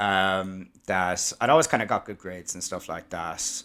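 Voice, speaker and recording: The speaker has a Cork accent. The recording is very clean, with a silent background. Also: man. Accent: Cork Irish. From Ireland, Cork City. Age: 30s. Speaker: podcast guest, tax manager. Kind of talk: casual interview chat.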